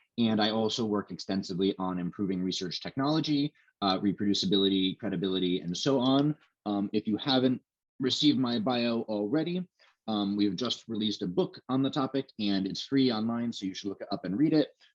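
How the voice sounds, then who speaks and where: With lively intonation and a fairly low pitch, a man speaks in a dry, close sound with no echo. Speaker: researcher giving a lecture. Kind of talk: lecture. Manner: fast; halting with many fillers.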